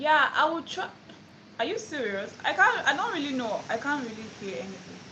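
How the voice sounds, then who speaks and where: In a Nigerian accent, a woman with a high pitch uses a raised, projected voice at a moderate pace, with very wide pitch swings and big swings in loudness, amid noticeable background noise and audible room echo. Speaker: language teacher. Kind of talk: live stream tutorial. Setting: phone live stream away from home.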